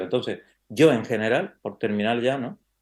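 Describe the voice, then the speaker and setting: Over a quiet background, a man in an Andalusian accent talks at a very fast pace with a medium pitch and ordinary pitch variation. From Andalusia, Spain. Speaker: criminal lawyer and university professor. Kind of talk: interview conversation. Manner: hesitant, many fillers.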